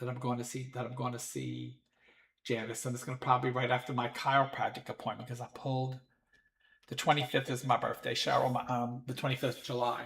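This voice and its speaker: Fairly quick speech comes from a man. Some breathiness colors his voice. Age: 60s. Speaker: psychic medium podcast host. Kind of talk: casual livestream chat. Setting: live stream from home. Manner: halting, many fillers.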